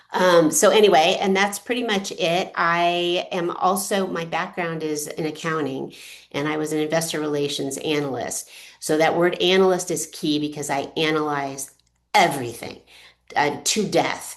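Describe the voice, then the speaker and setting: This woman talks at a moderate pace in a fairly low pitch, with ordinary pitch variation. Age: 60s. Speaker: author. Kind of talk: presentation. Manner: halting.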